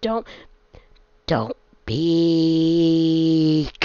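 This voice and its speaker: A man adopts a put-on character voice. It is raspy and fairly high-pitched. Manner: loud, drawn out, commanding.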